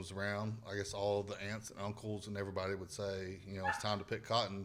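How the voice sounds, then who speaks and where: This speaker has a strong Southern US accent and fairly even intonation. The pace is very fast. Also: man. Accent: thick Southern. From US South, northwest Alabama. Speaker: comedian and podcast host. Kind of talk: casual chat.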